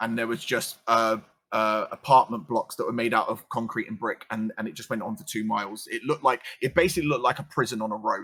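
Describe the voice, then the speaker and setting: This man talks at a very fast pace. He has a slight London accent. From London, England (council estate). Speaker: streamer. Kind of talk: casual chat. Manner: loud.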